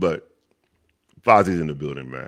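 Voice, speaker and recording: Very fast and very deep, a man's low-pitched voice carries vocal fry. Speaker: podcast host. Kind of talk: casual chat.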